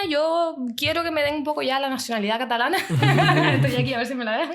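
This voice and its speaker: A woman is speaking. She has a Canarian accent. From Canary Islands (Tenerife). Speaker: psychologist and podcaster. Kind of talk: casual interview chat.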